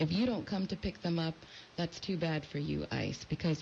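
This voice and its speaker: Somewhat breathy and fairly low in pitch, a woman speaks with an American accent. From California, US. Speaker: immigration lawyer. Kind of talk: radio interview.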